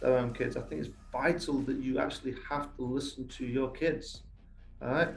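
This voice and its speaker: With a strong English accent, a man speaks at a moderate pace and medium pitch amid audible room echo. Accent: English accent, still fairly strong. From England, Lincolnshire (east coast). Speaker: youth soccer academy coach. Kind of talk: podcast interview. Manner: animated.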